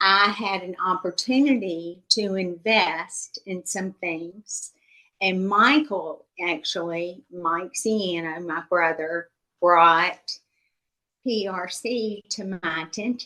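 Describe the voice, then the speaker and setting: A woman speaks at a very slow pace in a medium-pitched voice. Her tone is bright and sharp, with ordinary pitch variation. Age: 60s. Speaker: investor giving a testimonial. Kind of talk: testimonial interview. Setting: video call. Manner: conversational.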